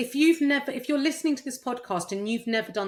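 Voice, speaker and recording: Breathy in part, a woman speaks in an animated tone at a moderate pace. The recording is very clean, with a silent background. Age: 50s. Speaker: fitness coach. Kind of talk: interview, casual chat. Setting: podcast recording.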